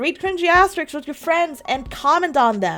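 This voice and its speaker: Over music in the background, a woman with a high voice speaks with very wide pitch swings. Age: 20s. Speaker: vtuber and artist. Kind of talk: casual monologue video.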